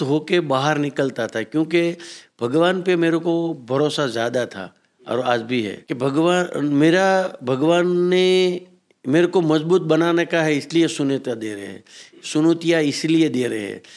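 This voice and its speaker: An ordinary speaking voice carries lively intonation. The recording is very clean, with a silent background. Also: man. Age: 60s. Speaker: businessman. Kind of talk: motivational talk.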